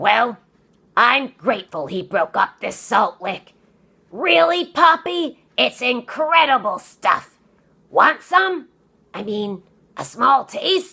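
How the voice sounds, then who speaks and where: In a put-on character voice, a female-sounding speaker growls in a raspy, high pitch with very wide pitch swings, a very slow pace and long, frequent pauses. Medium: read story. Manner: gruff, blustering, excitable.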